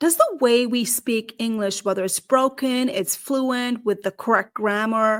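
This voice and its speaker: Fairly slow, animated speech in a South Asian accent, hardly any pauses, dry and close with no echo. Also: woman, fairly high pitch for a woman, ordinary pitch variation. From Nepal. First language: Nepali. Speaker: career strategist and podcast host. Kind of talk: podcast monologue.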